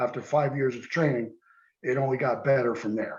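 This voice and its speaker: This man has a normal speaking voice with an American accent. His pitch is medium and his intonation fairly even. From New Jersey, US. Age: 60s. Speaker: karate teacher and former police lieutenant. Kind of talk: interview.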